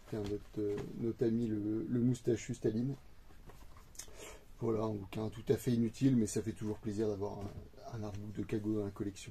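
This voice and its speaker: A man's fairly low, somewhat breathy voice with a dark, mellow tone, monotone delivery at a moderate pace, and long, frequent pauses. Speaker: manga collector youtuber. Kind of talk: casual haul video monologue. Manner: hesitant, many fillers.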